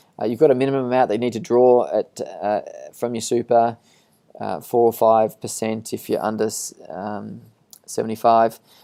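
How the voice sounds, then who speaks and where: A man speaks in an Australian accent at a moderate pace. His tone is dark and mellow, with monotone, flat intonation. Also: medium pitch for a man. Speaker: financial adviser. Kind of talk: webinar presentation with Q&A. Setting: online webinar. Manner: halting, many fillers.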